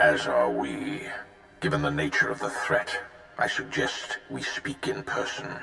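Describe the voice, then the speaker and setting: Over clear background noise, someone uses a put-on character voice at a moderate pace. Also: man. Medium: video game. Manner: formal, commanding, grave.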